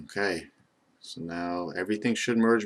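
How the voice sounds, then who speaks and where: Here a man is speaking. His intonation is fairly even. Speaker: 3D modeling instructor. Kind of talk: tutorial. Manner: monotone.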